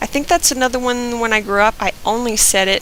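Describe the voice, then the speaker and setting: A woman's fairly high voice with an American accent, at a moderate pace, amid noticeable background noise. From US South, Georgia. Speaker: vlogger. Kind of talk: reading word list and casual commentary.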